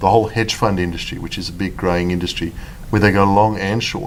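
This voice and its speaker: With a South African accent, a man speaks at a fairly low pitch in a room with audible echo. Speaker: fund manager. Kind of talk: interview.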